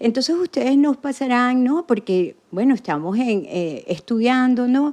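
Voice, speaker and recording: A woman speaks with a strong Venezuelan accent in a high, dark and mellow voice with lively intonation. Her pace is moderate, and the background is quiet. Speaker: podcast guest, former association president. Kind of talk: casual interview.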